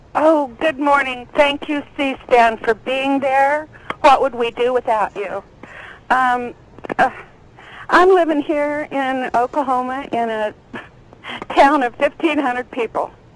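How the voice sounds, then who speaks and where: With long, frequent pauses, a woman talks very slowly at a high pitch with ordinary pitch variation. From California. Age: 60s. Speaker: caller. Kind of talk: call-in question.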